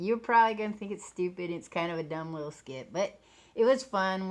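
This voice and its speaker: A woman speaks at a medium pitch with very wide pitch swings. The background is quiet. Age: middle-aged. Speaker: video creator. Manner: rambling, casual.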